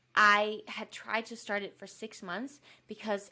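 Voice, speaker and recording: With a Danish accent, a woman speaks in a bright, sharp tone. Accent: Danish accent, imperfect English. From Denmark. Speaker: fitness YouTuber and podcaster. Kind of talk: podcast interview. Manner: casual, uses many fillers.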